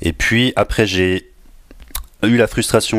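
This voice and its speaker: A man talks at a fairly slow pace with a slight Swiss French accent. Noticeable background noise runs underneath. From northern Switzerland, near Basel, rural. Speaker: agile coach and engineering manager. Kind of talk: podcast interview.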